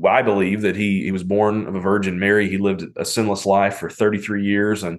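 With a plain, everyday voice, a man talks at a fairly quick pace and a fairly low pitch, his intonation fairly even. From US South, mountains of western North Carolina. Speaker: pastor and author. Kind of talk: casual interview chat.

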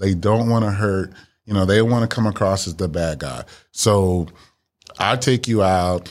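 Heard on a very clean recording against a silent background, an ordinary speaking voice with an American accent moves at a moderate pace with ordinary pitch variation. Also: man, fairly low pitch for a man. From Miami, Florida. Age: 50s. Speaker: dating podcast guest. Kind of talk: casual chat.

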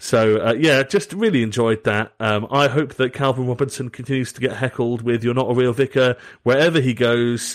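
A medium-pitched man with a Southern English accent at a moderate pace, hardly any pauses and ordinary pitch variation, in a very clean recording with a silent background. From southern England. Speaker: podcast host. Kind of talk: casual chat.

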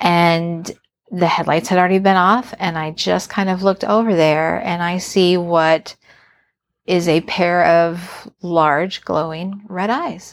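Very slowly and with fairly even intonation, a woman with an American accent speaks at a fairly low pitch on a very clean recording with a silent background. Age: 40s. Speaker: podcast guest, host's wife. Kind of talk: casual interview, recounting a story.

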